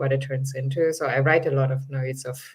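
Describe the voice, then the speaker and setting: The speaker talks at a fairly quick pace with a non-native accent. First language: not English. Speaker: writer. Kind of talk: panel discussion. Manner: casual, hesitant fillers.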